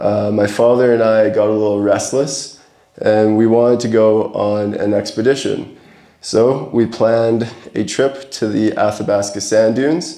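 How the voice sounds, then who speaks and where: Speaking fairly slowly with a Canadian accent, a man keeps his loudness very even and his intonation fairly even, with audible room echo around him. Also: medium pitch for a man. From Alberta, Canada. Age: 20s. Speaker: adventure photographer. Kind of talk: presentation to a camera club. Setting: talk to a club audience.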